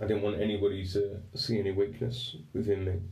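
Speaking at a fairly slow pace with an English accent, the voice has a dark, mellow tone and sounds somewhat breathy. Audible room echo surrounds it. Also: man. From England. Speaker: podcast host. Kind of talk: storytelling monologue. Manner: casual, halting.

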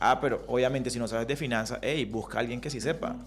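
Heard with audible room echo, a man at medium pitch talks at a very fast pace with vocal fry. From Colombian Caribbean coast, Riohacha, La Guajira. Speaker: entrepreneurship lecturer. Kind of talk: radio interview. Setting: radio studio.

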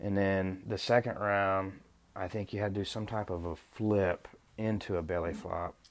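A speaker with an American accent talks at a moderate pace. The intonation stays monotone and flat. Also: man, fairly low pitch for a man. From Oklahoma (Choctaw). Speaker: physical therapist assistant, former college football player. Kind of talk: casual chat.

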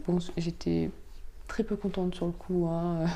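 Speaking at a fairly slow pace, a woman uses a fairly low pitch with a dark, mellow tone. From Provence, France. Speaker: podcast guest. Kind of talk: interview. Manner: halting.

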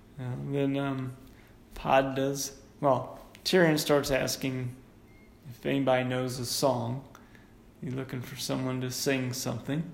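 At a fairly slow pace, a man speaks in a medium pitch with monotone, flat intonation, leaving long, frequent pauses. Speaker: podcast host. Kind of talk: casual chat.

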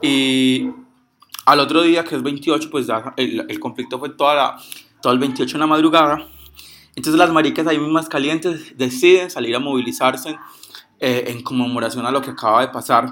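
A fairly high-pitched man with a bright, sharp tone, at a moderate pace with fairly even intonation and long, frequent pauses. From Colombia, Pereira area. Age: 20s. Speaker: activist and law student. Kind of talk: informal talk. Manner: halting.

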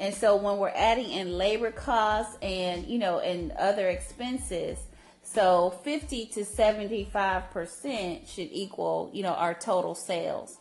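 Speaking at a very slow pace, a woman shows vocal fry, a medium pitch and ordinary pitch variation. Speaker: podcast co-host. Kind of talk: casual chat.

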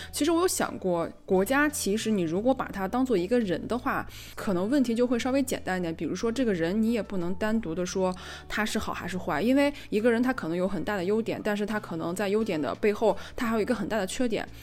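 Her medium-pitched voice lively in intonation, a woman talks at a very fast pace. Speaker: podcast co-host. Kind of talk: casual chat. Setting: voice call. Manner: loud, gets excited.

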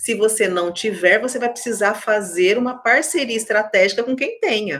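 A woman speaks with a fairly high pitch. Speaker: HR consultant. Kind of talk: casual interview.

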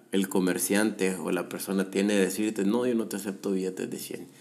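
A man speaks in a very deep, low voice with fairly even intonation. Room echo is audible. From El Salvador. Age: 30s. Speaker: podcast host, economist. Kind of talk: solo commentary podcast. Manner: halting, many repetitions and fillers.

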